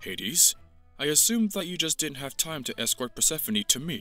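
Putting on a character voice, a man speaks fairly quickly at a fairly high pitch while faint music plays in the background. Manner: bossy, angry.

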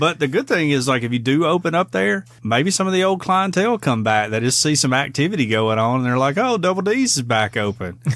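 Talking fairly quickly with hardly any pauses, a man with a Southern US accent and fairly high pitch makes very wide pitch swings. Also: very even loudness. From US South. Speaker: podcast co-host. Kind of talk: casual comedic banter. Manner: jokey, laid-back.

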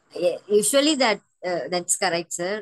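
A woman's medium-pitched voice with lively intonation, a moderate pace and a dry, close sound with no echo

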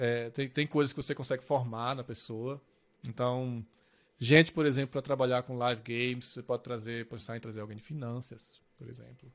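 A man speaks at a moderate pace with fairly even intonation. His loudness swings widely. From Brazil, Pernambuco interior; Pernambuco, Brazil. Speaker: games industry executive; podcast guest. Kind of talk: interview; interview answer. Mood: calm, reflective. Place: home room.

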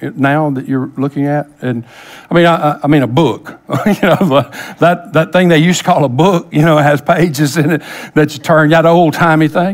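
Fairly even intonation accompanies speech delivered at a moderate pace. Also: man. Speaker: pastor. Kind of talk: sermon. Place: church. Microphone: headset.

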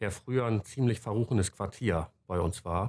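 The background stays quiet. A man speaks at a moderate pace. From northern Germany, Stade near Hamburg; northern Germany. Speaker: politician. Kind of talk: personal testimony. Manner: hesitant, many filler sounds. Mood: calm, reflective. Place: office.

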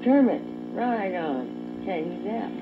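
Over clear background noise, a woman talks at a fairly slow pace with a medium pitch. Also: lively intonation.

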